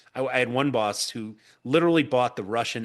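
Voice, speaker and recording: A man with a normal speaking voice talks at a fairly quick pace with lively intonation over a quiet background. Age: 50s. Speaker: podcast host. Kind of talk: interview.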